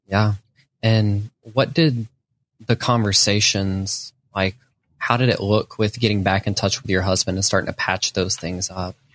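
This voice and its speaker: Against a quiet background, a man with a plain, everyday voice and fairly low pitch talks at a moderate pace. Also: fairly even intonation, dry, close sound with no echo. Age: young. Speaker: podcast host. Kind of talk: interview.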